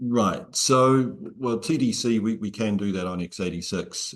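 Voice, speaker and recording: The speaker is a man. His pitch varies in an ordinary way. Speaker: software company director; presenter. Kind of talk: webinar Q&A. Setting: video call. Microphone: earbuds.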